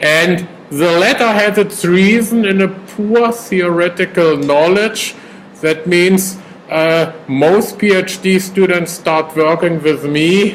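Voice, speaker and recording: Over noticeable background noise, the speaker goes at a very slow pace with a German accent. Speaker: professor. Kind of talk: lecture. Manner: hesitant.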